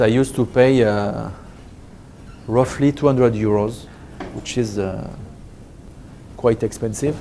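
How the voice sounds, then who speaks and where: A man with a French accent and medium pitch, fairly slow and fairly even in intonation, with long, frequent pauses. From France. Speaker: business trainer. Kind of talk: lecture. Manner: halting.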